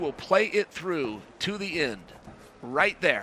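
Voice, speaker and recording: A man speaks in a raised, projected voice at a high pitch. His intonation is lively and his pace fairly slow. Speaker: grappling commentator. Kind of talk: live commentary.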